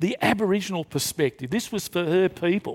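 The speaker has an Australian accent and lively intonation. The recording is very clean, with a silent background and a dry, close sound with no echo. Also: man. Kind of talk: panel talk before live audience. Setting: stage with audience.

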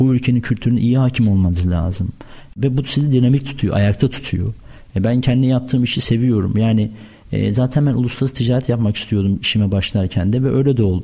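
A man's somewhat breathy, dark and mellow voice at medium pitch, very fast, with very even loudness. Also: ordinary pitch variation. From Turkey, Afyon. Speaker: food trade entrepreneur. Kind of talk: radio interview.

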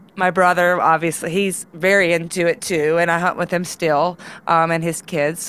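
A woman with a Mississippi accent speaks at a fairly slow pace in a fairly low voice. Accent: Southern US (Mississippi). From Mississippi Delta, US South. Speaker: museum curator. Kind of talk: casual interview chat.

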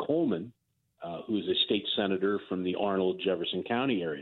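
Using an ordinary speaking voice, a man talks at a fairly quick pace and a fairly low pitch. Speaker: news correspondent. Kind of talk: news interview. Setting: phone call.

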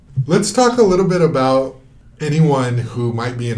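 A man speaks at a moderate pace in a somewhat breathy voice with ordinary pitch variation. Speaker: podcast host. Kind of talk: interview.

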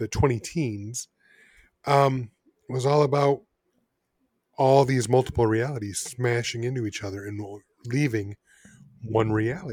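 A man with an American accent talks at a medium pitch and a moderate pace in a somewhat breathy voice with ordinary pitch variation, recorded very cleanly against a silent background. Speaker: podcast co-host. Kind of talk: casual chat.

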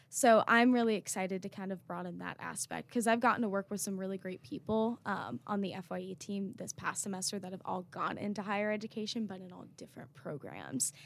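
A plain, everyday voice with an American accent, fairly quick and with hardly any pauses, ordinary pitch variation, and big swings in loudness. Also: woman, medium pitch for a woman. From North Carolina (Raleigh). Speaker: university student. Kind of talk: interview.

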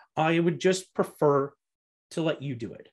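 A man with an Ontario accent against a quiet background. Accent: Canadian (Ontario). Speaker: real estate investor and podcast host. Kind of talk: interview. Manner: frequent fillers and restarts.

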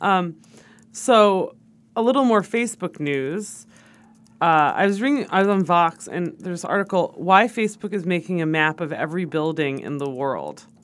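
On a very clean recording with a silent background, a woman with a plain, everyday voice speaks at a fairly low pitch and a moderate pace with lively intonation. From New York. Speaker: podcast co-host, content marketer. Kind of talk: casual chat.

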